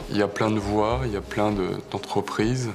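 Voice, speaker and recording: A man's fairly low voice, with ordinary pitch variation, comes through over noticeable background noise. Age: 20s. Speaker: apprentice decorative painter. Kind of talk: interview testimony.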